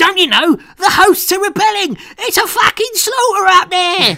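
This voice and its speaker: This is a put-on character voice at an extremely high pitch with an English accent. The pace is moderate. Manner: dramatic, urgent.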